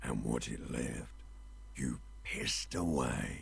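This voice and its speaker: A man speaks in a put-on character voice at a very slow pace. Clear background noise can be heard. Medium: game stream. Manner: cryptic, somber.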